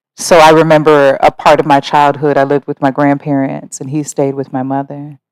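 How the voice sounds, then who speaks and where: Recorded dry and close with no echo, a woman speaks in an American accent. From US Midwest, Ohio (Mansfield). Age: 30s. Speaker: interviewee telling her life story. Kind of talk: life story interview. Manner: reflective, hesitant with fillers.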